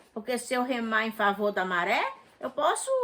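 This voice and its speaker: Noticeable background noise under a woman's fairly high voice at a moderate pace. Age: 60s. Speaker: interviewee, mother of the channel owner. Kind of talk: casual chat.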